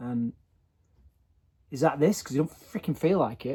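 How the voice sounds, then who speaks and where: A man with a dark, mellow tone at a fairly quick pace. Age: 40s. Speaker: vlogger. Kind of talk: personal video diary. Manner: halting.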